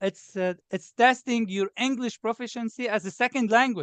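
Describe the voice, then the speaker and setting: With a Lebanese accent, a man talks at a moderate pace and ordinary pitch variation. The sound is dry and close with no echo. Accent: obvious Lebanese. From Lebanon. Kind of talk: interview. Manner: animated.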